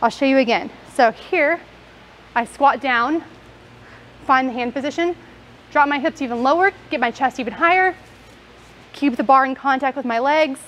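A high-pitched woman at a moderate pace, with ordinary pitch variation and long, frequent pauses. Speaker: fitness coach. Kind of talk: tutorial. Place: gym.

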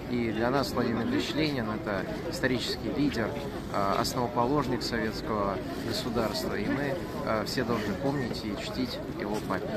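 Over loud background noise, a man talks at a moderate pace with ordinary pitch variation, leaving long, frequent pauses. The sound itself is dry, with no echo. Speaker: interviewee. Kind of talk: interview answer. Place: street. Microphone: phone near.

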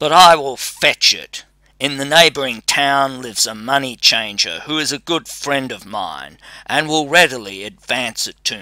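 This man puts on a character voice at a medium pitch, recorded very cleanly against a silent background. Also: moderate pace. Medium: read story. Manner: menacing, then wheedling.

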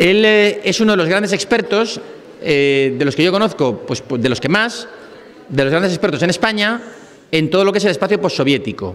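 At a moderate pace, a man talks at a high pitch with lively intonation. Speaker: guest. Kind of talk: speaker introduction. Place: hall. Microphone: podium.

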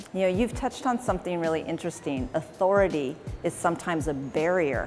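A woman talks at a fairly quick pace in a Californian accent, her pitch fairly low but her intonation lively. Music plays in the background. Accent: Californian American English. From Oakland, California. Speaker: city mayor. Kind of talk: interview conversation.

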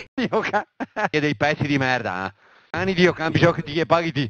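An angry tone from a man with a Venetian accent, fairly quick in pace and lively in intonation, with a dry, close sound and no echo. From Veneto, Italy. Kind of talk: casual political rant. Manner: angry, heavily profane.

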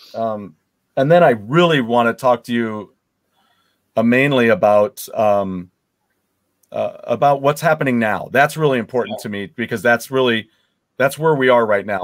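A man at a moderate pace and medium pitch, with ordinary pitch variation and a quiet background. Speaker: show host. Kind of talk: interview conversation. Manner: animated. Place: home room. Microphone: headset.

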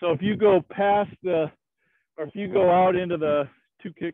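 A high-pitched male voice at a moderate pace with ordinary pitch variation, dry with no echo, over a quiet background. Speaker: karate instructor. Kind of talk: class instruction. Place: open country.

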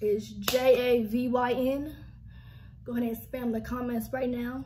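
Over light background noise, a woman speaks very slowly in a high voice. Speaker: vlogger. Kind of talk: casual vlog chat. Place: home room. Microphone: phone near.

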